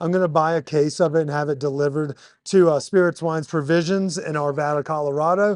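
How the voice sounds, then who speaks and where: A man talks loudly at a fairly quick pace. His pitch is high, and his intonation is fairly even. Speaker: podcast host. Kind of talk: casual interview. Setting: bar.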